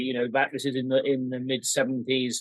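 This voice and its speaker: A moderate pace and a fairly high pitch from a man in an unremarkable speaking voice. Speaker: farmer.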